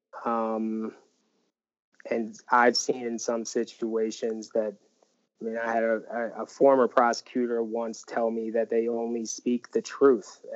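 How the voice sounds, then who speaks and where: Fairly slow delivery in an American accent with monotone, flat intonation. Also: man, medium pitch for a man. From Northern Virginia. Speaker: public defender. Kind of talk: interview conversation.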